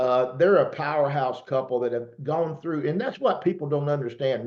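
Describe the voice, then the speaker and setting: A man talks at a moderate pace in a plain, everyday voice. His pitch is fairly high, with ordinary pitch variation. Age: 60s. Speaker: network marketing host. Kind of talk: casual interview chat.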